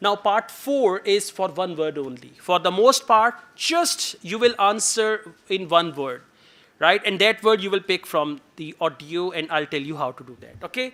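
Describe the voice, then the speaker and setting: Speaking in a Pakistani accent, a man with a high pitch and a bright, sharp tone uses a raised, projected voice, lively intonation and a fairly slow pace. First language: Urdu. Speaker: IELTS teacher. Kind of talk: lecture.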